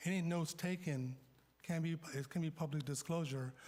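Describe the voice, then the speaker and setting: Speaking at a fairly slow pace, a man has a dark, mellow tone and a somewhat breathy voice, captured in a very clean recording with a silent background. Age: 60s. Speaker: city council member. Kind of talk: heated debate. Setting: council chamber.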